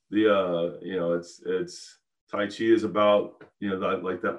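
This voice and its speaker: Here a man speaks at a fairly low pitch with ordinary pitch variation. It is a normal speaking voice. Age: 50s. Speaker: tai chi teacher. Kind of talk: casual chat. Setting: video call.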